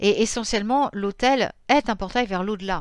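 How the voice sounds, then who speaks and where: A woman speaks at a fairly high pitch with lively intonation and a moderate pace. The recording is very clean, and the background is silent. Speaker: pagan spirituality youtuber. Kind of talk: informal lecture. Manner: halting, self-correcting.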